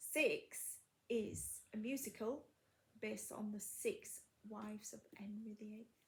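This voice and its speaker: Pausing long and often, a woman speaks at a fairly slow pace with big swings in loudness. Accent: Yorkshire. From Yorkshire. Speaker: crafting video host. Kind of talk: casual chat. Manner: halting, many fillers.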